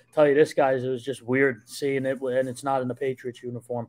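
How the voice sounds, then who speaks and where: This man speaks with a New Jersey accent. His tone is dark and mellow. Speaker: sports journalist. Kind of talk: casual podcast chat.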